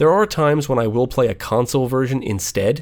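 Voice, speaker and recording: A man's medium-pitched voice at a fairly quick pace, with ordinary pitch variation. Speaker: game reviewer, channel host. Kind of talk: channel Q&A update, monologue. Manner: naturally fast talker.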